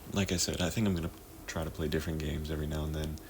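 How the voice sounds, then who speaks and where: A soft-spoken man talks at a very fast pace. There is audible room echo. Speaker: gaming vlogger. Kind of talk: casual gameplay chat. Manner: halting.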